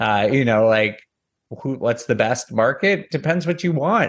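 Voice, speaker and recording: A man with an American accent speaks at a moderate pace in a plain, everyday voice of medium pitch, his intonation lively. The background is quiet. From US Northeast. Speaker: real estate data analyst. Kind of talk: interview. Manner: casual.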